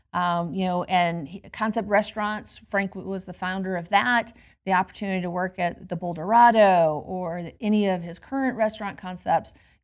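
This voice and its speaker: An ordinary speaking voice with an American accent, at a moderate pace with hardly any pauses, fairly even intonation and big swings in loudness, on a very clean recording with a silent background. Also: woman, medium pitch for a woman. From US South, Georgia. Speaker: hospitality program leader at a university. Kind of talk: interview. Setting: quiet indoor space on a campus.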